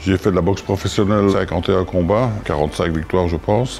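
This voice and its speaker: Speech in a Liège accent comes at a fairly quick pace with fairly even intonation. Noticeable background noise runs underneath. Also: man. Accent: Belgian French (Liège). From Belgium, Liège province (Visé). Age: 70s. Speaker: former boxer and boxing coach. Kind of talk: interview testimony.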